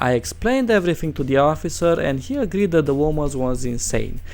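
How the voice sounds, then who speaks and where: A man's fairly high voice with a non-native accent, very wide pitch swings and a fairly quick pace over music in the background. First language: not English. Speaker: reddit story narrator. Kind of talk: reading aloud with commentary. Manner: animated.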